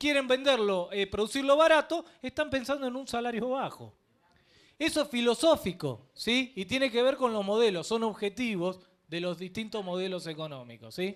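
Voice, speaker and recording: Speaking at a moderate pace, a man uses an extremely high pitch and lively intonation. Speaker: political commentator. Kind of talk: political debate.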